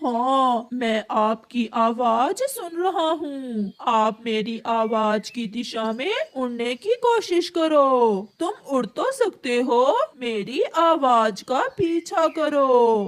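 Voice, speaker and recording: A high, female-sounding cartoonish character voice at a very slow pace, with hardly any pauses. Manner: bossy, directing.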